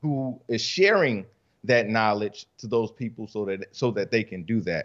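This man's pitch varies in an ordinary way against a quiet background. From US South, Rock Hill, South Carolina. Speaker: author and coach. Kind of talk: casual interview.

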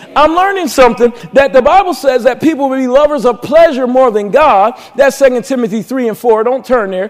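A man's extremely high pitch with ordinary pitch variation, a fairly quick pace and hardly any pauses, over noticeable background noise. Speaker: pastor. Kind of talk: impassioned sermon, building testimony about escaping the devil's plans. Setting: church. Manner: fervent, call-and-response preaching that prods the congregation; rising, emphatic delivery with repetition and exclamations.

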